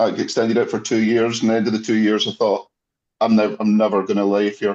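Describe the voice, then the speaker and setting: Medium-pitched man with a Scottish accent, fairly quick and monotone, flat in intonation. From Scotland, near Glasgow. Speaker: former researcher. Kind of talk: casual chat.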